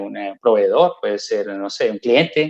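Here a man is talking. His pace is fairly slow. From Colombia. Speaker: multinational company employee. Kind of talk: interview.

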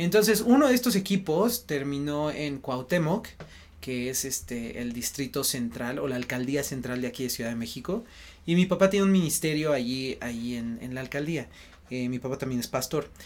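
A man speaks with a central Mexican accent at a moderate pace. His pitch is fairly high and his intonation lively. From Mexico City. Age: 30s. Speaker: missionary base leader. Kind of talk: interview.

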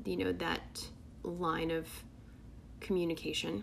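A woman speaks at a moderate pace in a space with audible room echo. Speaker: tarot reader. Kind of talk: tarot reading monologue. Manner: casual, filler-heavy.

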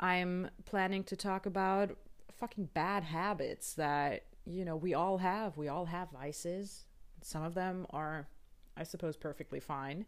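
At a fairly slow pace, a woman talks with medium pitch and fairly even intonation. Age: 30s. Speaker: podcast host. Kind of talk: scripted monologue. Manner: hesitant; laughing.

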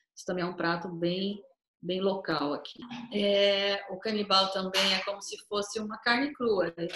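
Moderate pace, a plain, everyday voice, ordinary pitch variation. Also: woman. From Brazil, Cuiabá, Mato Grosso. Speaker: tour guide. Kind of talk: casual interview.

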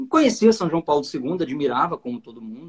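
A man's high-pitched voice with lively intonation. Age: 30s. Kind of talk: lecture. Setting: video call.

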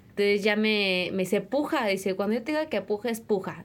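A woman talks at a moderate pace with ordinary pitch variation. It is a normal speaking voice. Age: 20s. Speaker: interviewee, young mother. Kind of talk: testimony.

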